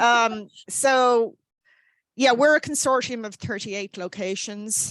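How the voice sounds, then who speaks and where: Speaking at a very slow pace, a woman with an Irish accent uses ordinary pitch variation. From Ireland. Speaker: library staff member. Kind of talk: online meeting discussion. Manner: hesitant, many fillers.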